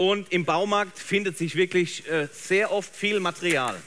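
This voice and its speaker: A man speaks in a bright, sharp tone. His pace is moderate and his pitch variation ordinary. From Germany. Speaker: photographer; presenter. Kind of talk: live demo talk. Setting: trade fair stage with audience. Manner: animated. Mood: warm, enthusiastic storytelling. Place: stage.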